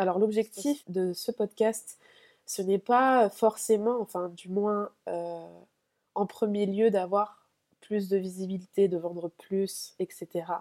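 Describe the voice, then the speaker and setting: Dark and mellow in tone, a woman speaks at a very slow pace with fairly even intonation. The sound is dry and close, with no echo. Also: medium pitch for a woman. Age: 20s. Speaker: podcaster, business and spirituality coach. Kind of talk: solo podcast monologue. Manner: hesitant, many fillers.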